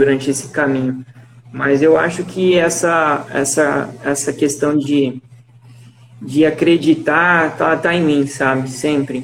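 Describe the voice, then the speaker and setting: Over noticeable background noise, a man with fairly high pitch speaks at a very slow pace with fairly even intonation. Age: 20s. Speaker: medical graduate. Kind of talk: casual interview.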